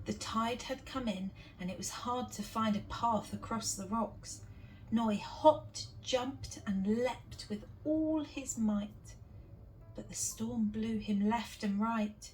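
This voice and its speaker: Music plays in the background as a voice in a British accent speaks at a very slow pace. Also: woman. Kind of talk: children's picture book read-aloud.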